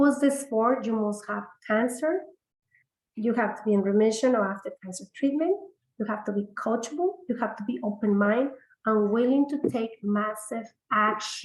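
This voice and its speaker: A somewhat breathy woman with a fairly high pitch, ordinary pitch variation and a moderate pace. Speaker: integrative medicine practitioner. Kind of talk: webinar sales pitch. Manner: hesitant, many fillers.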